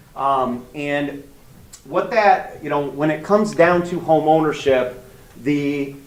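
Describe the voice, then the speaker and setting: Audible room echo surrounds the voice. A man speaks at a fairly high pitch. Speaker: mortgage loan officer. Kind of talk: seminar talk. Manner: loud.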